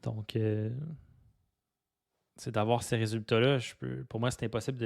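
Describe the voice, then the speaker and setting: In a Quebec accent, a man speaks fairly slowly at a medium pitch with fairly even intonation. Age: 30s. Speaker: podcaster. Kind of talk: personal monologue. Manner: halting, many fillers and repetitions; unscripted, raw and direct.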